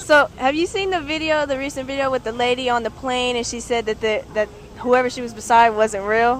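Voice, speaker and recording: A woman with a high voice talks at a fairly quick pace with ordinary pitch variation. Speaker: interviewee. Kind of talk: casual chat. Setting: outdoors in a park. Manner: stuttering at times.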